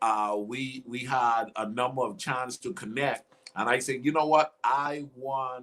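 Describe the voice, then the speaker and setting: A man speaks with a Bahamian accent in an animated tone. His pace is fairly slow. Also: medium pitch for a man, hardly any pauses. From Bahamas. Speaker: life coach and talk show host. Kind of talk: live online interview. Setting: live video stream.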